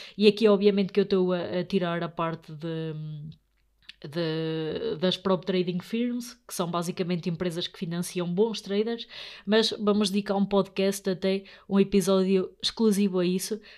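A woman's medium-pitched voice at a moderate pace, fairly even in intonation but with big swings in loudness, in a very clean recording against a silent background. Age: 20s. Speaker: podcast host, young investor. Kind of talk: solo podcast monologue. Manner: halting, many fillers.

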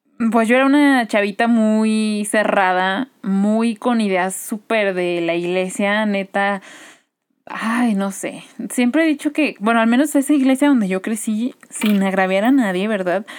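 On a very clean recording with a silent background, a woman with a fairly high pitch and an unremarkable speaking voice talks at a fairly slow pace with ordinary pitch variation. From Guadalajara, Mexico. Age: 20s. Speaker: business administrator and podcaster. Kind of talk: casual chat.

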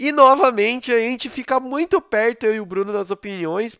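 A man's voice, extremely high in pitch, moves with lively intonation. The sound is dry and close, with no echo. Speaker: podcast host. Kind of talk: casual chat. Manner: animated. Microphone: new microphone.

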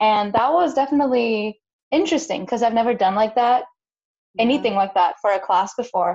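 A woman's plain, everyday voice, fairly high-pitched and fairly quick, with very even loudness and lively intonation. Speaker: podcast co-host, college student. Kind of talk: casual chat.

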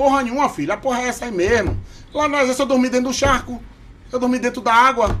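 Speaking with a Bahian accent, a man talks at a very fast pace. His pitch is extremely high. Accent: Bahian, kept. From Bahia, Salvador. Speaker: podcast guest. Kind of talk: casual chat. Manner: animated.

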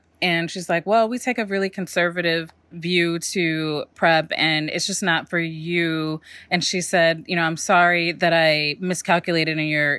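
A woman uses a normal speaking voice at a fairly low pitch. She keeps a moderate pace and fairly even intonation. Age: 40s. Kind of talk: interview conversation.

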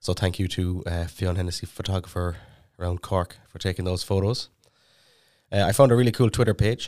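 A man with an Irish accent talks fairly quickly in a very deep, low pitch, his intonation fairly even. The recording is very clean, with a silent background. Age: 20s. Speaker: podcast co-host. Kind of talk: casual chat. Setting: studio.

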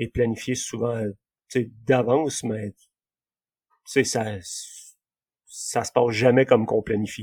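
The voice comes very slowly with fairly even intonation, in a dry, close sound with no echo. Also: man. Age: 30s. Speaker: amateur runner. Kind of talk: casual interview. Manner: halting.

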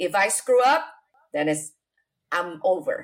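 In an Indonesian accent, a woman speaks at a moderate pace. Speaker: real estate investor. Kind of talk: interview. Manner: halting.

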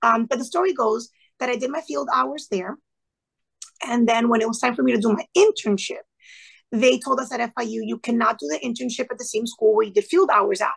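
Talking at a fairly quick pace, a woman with a fairly high, raspy voice shows a slightly husky edge, vocal fry and ordinary pitch variation.

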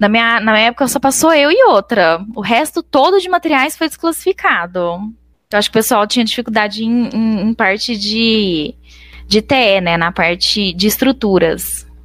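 Using an ordinary speaking voice, a woman with fairly high pitch and lively intonation keeps a moderate pace and very even loudness in a dry, close sound with no echo. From Brazil, Minas Gerais. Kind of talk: interview.

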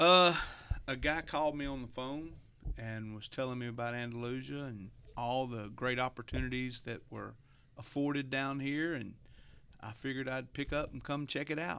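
A man with a Southern US accent speaks at a moderate pace, his medium-pitched voice bright and sharp in tone, with fairly even intonation. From Alabama, Eclectic. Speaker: church staff member. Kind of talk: casual chat.

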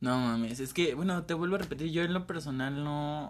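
A man with a plain, everyday voice speaks at a fairly quick pace in a fairly high pitch with ordinary pitch variation. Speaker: podcast co-host. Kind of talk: casual chat.

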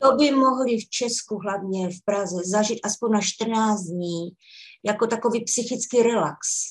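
This woman has an ordinary speaking voice. Her pace is fairly slow, with ordinary pitch variation. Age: 60s. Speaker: facial fitness coach. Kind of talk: interview.

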